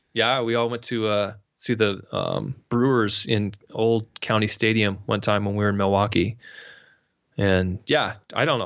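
With an American accent and an unremarkable speaking voice, a man talks at a fairly slow pace and fairly low pitch with fairly even intonation. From San Diego, California. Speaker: rock guitarist and singer. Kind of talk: casual interview chat. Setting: remote call.

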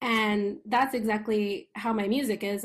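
Somewhat breathy and fairly high in pitch, a woman speaks with an American accent and ordinary pitch variation on a very clean recording with a silent background. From New York, Long Island. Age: 30s. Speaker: musician. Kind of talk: casual chat.

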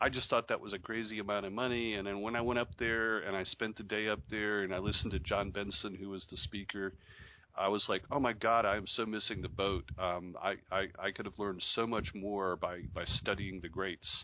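With a slight upstate New York accent, a man talks at a fairly quick pace and with fairly even intonation. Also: fairly low pitch for a man. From Charlotte, North Carolina, after early childhood in Syracuse. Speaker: newsletter publisher and entrepreneur. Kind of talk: interview.

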